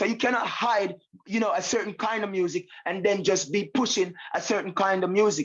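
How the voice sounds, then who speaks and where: Speaking with a Jamaican accent, a man talks at a moderate pace in a high pitch. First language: Jamaican patois. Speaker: reggae artist. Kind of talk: interview.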